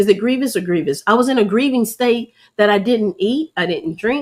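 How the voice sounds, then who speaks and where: The woman's voice is fairly high and her tone is animated. She speaks at a moderate pace with lively intonation. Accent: American. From Louisiana. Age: 50s. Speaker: wellness coach and online show host. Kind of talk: motivational talk. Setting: livestream on camera.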